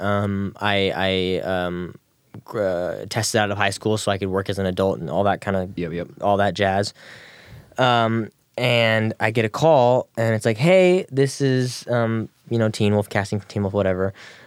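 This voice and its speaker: Over a silent background in a very clean recording, a man with a fairly low pitch speaks in a plain, everyday voice, at a fairly slow pace and with ordinary pitch variation. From Texas. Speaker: actor and musician. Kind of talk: casual interview chat. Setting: studio.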